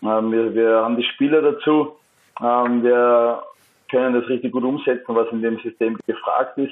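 Fairly slow and monotone, with flat intonation, a man speaks. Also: medium pitch for a man. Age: 30s. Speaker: professional footballer. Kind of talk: interview. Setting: phone call.

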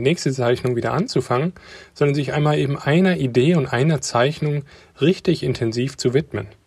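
Somewhat breathy and with ordinary pitch variation, the voice moves at a fairly quick pace on a very clean recording with a silent background. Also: man. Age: 30s. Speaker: car designer and father. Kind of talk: recorded voice message answers. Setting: voice message.

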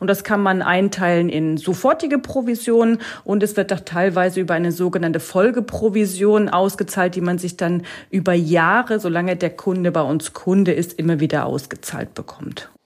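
A woman with a plain, everyday voice at medium pitch and a moderate pace. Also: ordinary pitch variation. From Lower Saxony, near Hanover. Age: 30s. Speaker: financial advisor. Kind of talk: casual interview. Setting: home office video call.

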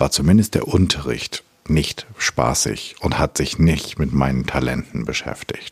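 A man is heard with a dry, close sound and no echo. Noticeable background noise runs underneath. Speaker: podcast host, culture coach. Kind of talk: interview conversation. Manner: casual, hesitant.

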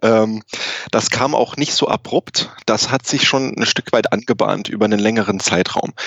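With hardly any pauses, a man talks at a fairly slow pace in an unremarkable speaking voice, medium in pitch, with fairly even intonation and very even loudness. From Germany, grew up in Saarland. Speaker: physician and tech company co-founder. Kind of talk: interview. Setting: remote call from Canada.

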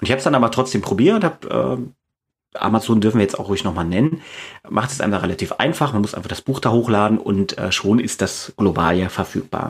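At a very fast pace, a man speaks with a fairly low pitch and lively intonation in a very clean recording with a silent background. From East Germany. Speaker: fantasy author and teacher. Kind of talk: interview. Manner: hesitant, with many fillers.

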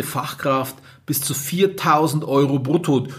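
A man talks with fairly even intonation at a fairly high pitch. Background noise is noticeable throughout. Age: 30s. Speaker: care home owner, podcaster. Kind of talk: solo podcast monologue. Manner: casual, many filler sounds.

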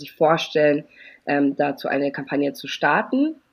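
A woman talks at a moderate pace. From Germany, Eritrean family. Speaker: campaign strategist. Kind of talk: interview.

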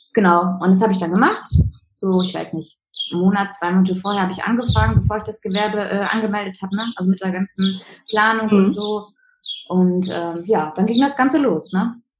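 Somewhat breathy, a woman speaks fairly quickly at a medium pitch with ordinary pitch variation. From Münsterland, North Rhine-Westphalia, Germany. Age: 20s. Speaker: virtual assistant, former law office employee. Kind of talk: interview. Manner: hesitant with many fillers.

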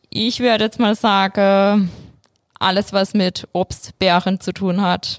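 A woman's medium-pitched voice, very slow and flat in a monotone, with very even loudness. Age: 20s. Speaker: bank advisor. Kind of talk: casual interview.

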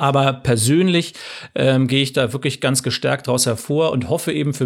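In an unremarkable speaking voice, a man talks at medium pitch with ordinary pitch variation. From northern Germany, rural. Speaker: entrepreneur. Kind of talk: interview. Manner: frequent filler sounds (ähm).

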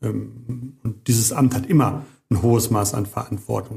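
A man's medium-pitched voice at a very slow pace with fairly even intonation, over music in the background. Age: 50s. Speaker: mayor. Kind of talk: interview. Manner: hesitant fillers.

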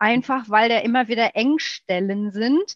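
At a very slow pace, a woman with a slight Ruhr accent speaks with ordinary pitch variation, the sound dry and close with no echo. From Ruhr area, Germany. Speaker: guest, lipedema patient and amateur triathlete. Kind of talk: casual interview chat.

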